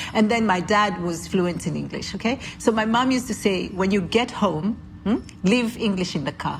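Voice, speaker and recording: With a Kenyan accent and some vocal fry, a woman speaks at a medium pitch and moderate pace with ordinary pitch variation. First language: Kikuyu. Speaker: podcast host. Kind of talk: casual interview conversation.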